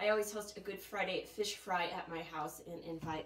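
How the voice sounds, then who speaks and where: With light background noise and audible room echo, a woman speaks at a fairly quick pace. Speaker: shop host. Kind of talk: live stream sales chat. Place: shop. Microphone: camera far.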